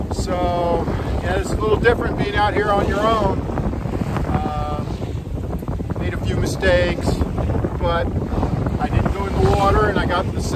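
Loud background noise surrounds a man speaking at a moderate pace with long, frequent pauses. The sound is dry with no echo. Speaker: solo sailor vlogger. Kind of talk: casual vlog chat. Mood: relieved, upbeat. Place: boat. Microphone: phone near.

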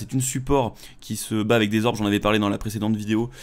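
A man's medium-pitched voice, fairly even in intonation, at a very fast pace. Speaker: gaming YouTuber; gaming streamer. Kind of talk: gameplay commentary. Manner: casual, hesitant with fillers. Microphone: headset.

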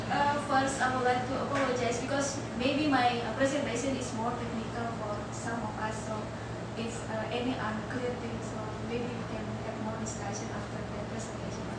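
Over loud background noise, the speech moves at a moderate pace with audible room echo. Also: woman. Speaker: university lecturer presenting research. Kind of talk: conference presentation. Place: hall.

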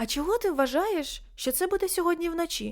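Putting on a character voice, a woman squeaks at an extremely high pitch in a gentle tone and at a fairly quick pace. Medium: read story. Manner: gentle, composed.

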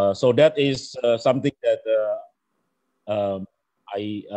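The background is quiet. The speech moves at a very slow pace. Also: man. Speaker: battery researcher and guest lecturer; guest lecturer. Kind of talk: online lecture. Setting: video call. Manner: halting. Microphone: video call.

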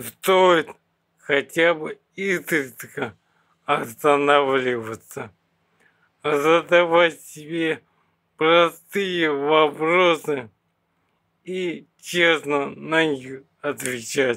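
A man's bright, sharp, fairly high voice at a very slow pace, with ordinary pitch variation and long, frequent pauses. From Bashkortostan, Russia. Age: 30s. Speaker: person with terminal illness. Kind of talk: interview. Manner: halting.

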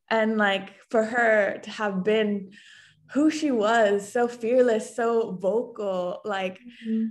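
A woman's fairly high voice, very slow and fairly even in intonation. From Japan. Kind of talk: casual conversation. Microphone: video call.

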